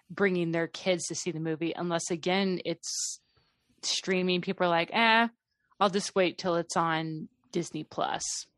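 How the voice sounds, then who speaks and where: A woman with a plain, everyday voice speaks at a fairly slow pace and fairly low pitch with fairly even intonation, the sound dry and close with no echo over a quiet background. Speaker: movie reviewer. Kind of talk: casual chat.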